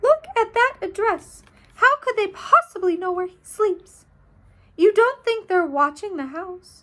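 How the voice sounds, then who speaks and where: In a put-on character voice, a woman speaks at an extremely high pitch, squeaky and shaky, at a fairly slow pace. Her intonation is lively and her loudness swings widely. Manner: quivering, frightened.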